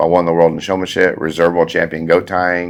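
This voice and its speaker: The voice has a Texan accent. Its intonation is monotone and flat. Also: man. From Texas, Alvin near Houston. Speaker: farrier and shoeing school instructor. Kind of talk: casual interview. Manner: fast.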